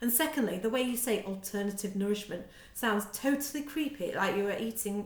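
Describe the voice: Ordinary pitch variation throughout some plain reading aloud.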